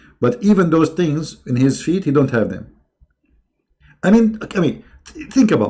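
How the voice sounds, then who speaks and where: A man with a non-native accent at a moderate pace, fairly high in pitch with vocal fry and a dark, mellow tone, very wide pitch swings, big swings in loudness, and long, frequent pauses. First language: not English. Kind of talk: live stream commentary reacting to a video. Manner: animated.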